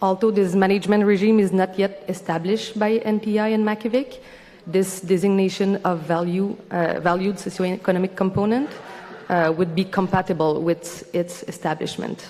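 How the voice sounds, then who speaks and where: Over noticeable background noise, a woman speaks at a medium pitch with fairly even intonation and very even loudness. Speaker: organization representative at public hearing. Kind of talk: formal presentation. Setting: public hearing. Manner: fast.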